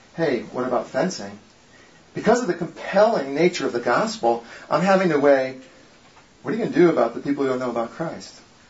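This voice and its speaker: Over noticeable background noise, a man with an American accent talks at a fairly quick pace with lively intonation. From Connecticut, New England. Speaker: guest speaker, former geologist. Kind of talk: talk with Bible study.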